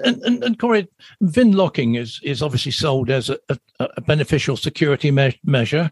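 A somewhat breathy man at a fairly high pitch, very wide pitch swings and a fairly quick pace, dry and close with no echo. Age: 70s. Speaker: agricultural podcast host. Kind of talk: interview. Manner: halting.

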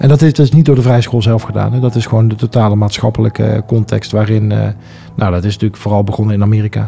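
A man's fairly low voice at a very fast pace, fairly even in intonation, with music in the background. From Netherlands, Breda. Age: 40s. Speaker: school association chairman. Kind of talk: interview. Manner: hesitant, many fillers.

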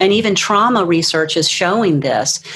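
Moderate-paced speech from a woman, medium in pitch, its pitch varying in an ordinary way amid noticeable background noise. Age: 60s. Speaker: life coach. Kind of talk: interview.

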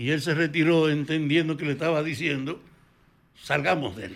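The voice has vocal fry. It moves at a moderate pace. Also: man. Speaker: former political activist. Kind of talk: interview.

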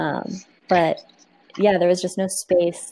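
A woman speaks in an American accent. Her pitch is medium. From Arizona, Tucson. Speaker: community organizer and cycling advocate. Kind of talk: casual interview chat.

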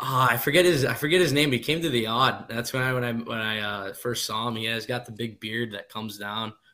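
A man talks at a fairly quick pace in an ordinary speaking voice, medium in pitch with ordinary pitch variation and hardly any pauses. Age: 20s. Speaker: hockey player. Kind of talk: casual chat.

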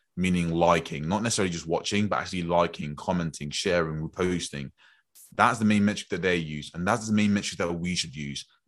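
The words come out at a very fast pace with ordinary pitch variation over a quiet background. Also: man, very deep, low pitch for a man. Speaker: podcast host and coach. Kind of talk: casual conversation, podcast discussion.

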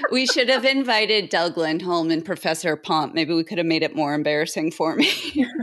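A woman talks fairly quickly with lively intonation at a fairly low pitch. Background noise is noticeable. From Boston. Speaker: in-house tax counsel. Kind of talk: interview.

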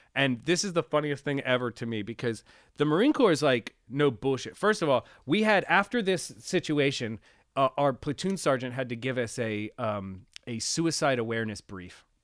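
In an American accent, a man with an ordinary speaking voice and medium pitch talks at a moderate pace with lively intonation, recorded very cleanly over a silent background with a dry, close sound and no echo. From Pennsylvania, US (Reading, later near Pittsburgh). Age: 30s. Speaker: recording engineer and producer, former Marine. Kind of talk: casual interview chat.

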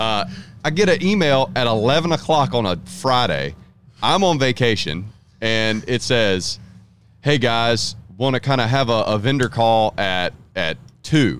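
A man speaks at a fairly slow pace with lively intonation. His loudness stays very even. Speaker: distribution director. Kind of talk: casual chat.

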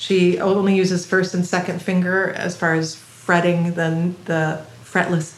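A woman speaks at a fairly low pitch and a fairly slow pace with hardly any pauses and monotone, flat intonation, amid noticeable background noise and audible room echo. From Belgium, Singapore and US Midwest (moved often). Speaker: improvising cellist. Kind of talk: casual interview.

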